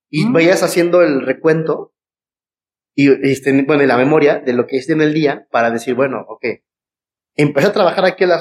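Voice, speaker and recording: Speaking at a fairly quick pace, a man with a Mexican accent has a fairly high pitch and ordinary pitch variation. The sound is dry and close, with no echo. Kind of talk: casual chat.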